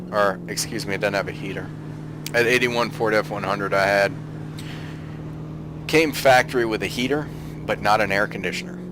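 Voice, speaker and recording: Over noticeable background noise, a man with an American accent talks at a fairly quick pace, broken by long, frequent pauses. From US South. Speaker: gaming YouTuber. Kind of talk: gameplay commentary. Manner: casual, conversational.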